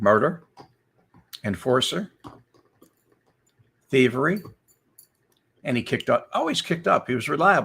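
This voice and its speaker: With an American accent, a man talks at a moderate pace and a fairly high pitch, using very wide pitch swings and vocal fry. He leaves long, frequent pauses. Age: old. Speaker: former FBI informant. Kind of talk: casual storytelling livestream.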